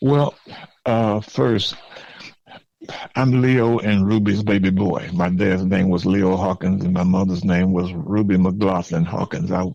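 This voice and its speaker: A man with a Southern US accent speaks in a very deep, low voice. His loudness stays very even, with ordinary pitch variation. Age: 70s. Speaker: former mayor. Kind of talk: podcast interview. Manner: halting, repeats words.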